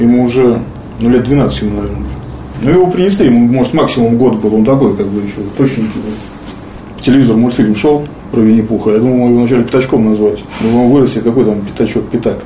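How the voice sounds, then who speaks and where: A man talks very fast at a medium pitch, with ordinary pitch variation. Noticeable background noise and audible room echo come through. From Russia, Pskov. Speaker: wheelchair athlete, arm-wrestler. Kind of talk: interview. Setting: at home. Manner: halting.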